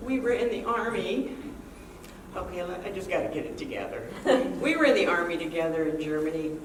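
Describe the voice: A woman talks at a fairly quick pace with lively intonation. Her pitch is fairly low, and audible room echo surrounds her.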